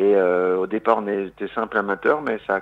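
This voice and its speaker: The man's voice sits fairly low, his intonation fairly even and his pace moderate. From Lorraine, eastern France. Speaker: singer-songwriter and comedian. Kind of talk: radio interview. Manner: hesitant, many fillers.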